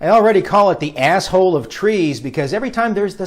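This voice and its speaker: With an American accent, a man talks at a fairly quick pace in a high voice that swings very widely in pitch. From United States. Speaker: comedy news anchor. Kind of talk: scripted satirical news reading.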